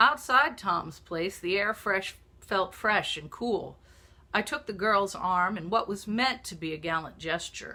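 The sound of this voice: An unforced reading voice with ordinary pitch variation comes through.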